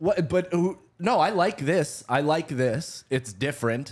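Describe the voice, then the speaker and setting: A man at a very slow pace with lively intonation and hardly any pauses, against a quiet background. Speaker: comedian. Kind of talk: casual chat. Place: studio. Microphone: studio mic.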